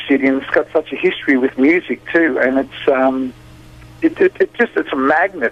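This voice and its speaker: A man speaks with a strong Australian accent and lively intonation at a moderate pace. Noticeable background noise runs underneath. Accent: thick Australian. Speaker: blues musician. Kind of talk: radio interview. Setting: phone call. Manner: halting, repeats words.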